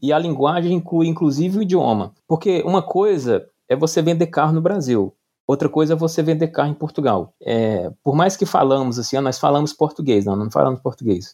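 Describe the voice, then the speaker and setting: A man talks at a fairly quick pace in a fairly high pitch with lively intonation. He has an ordinary speaking voice. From Brazil, Pernambuco interior then Brasília. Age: 40s. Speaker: entrepreneur. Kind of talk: interview.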